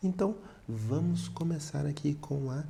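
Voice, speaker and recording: A soft-spoken man talks at a very slow pace in a dark, mellow, somewhat breathy tone with lively intonation. Audible room echo surrounds his voice. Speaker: math teacher. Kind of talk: tutorial.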